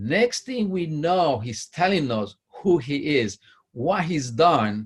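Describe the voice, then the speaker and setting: The voice is somewhat breathy and moves at a very slow pace. Its pitch swings very widely. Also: man, fairly high pitch for a man. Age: 50s. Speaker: interview host. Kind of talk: interview. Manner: enthusiastic.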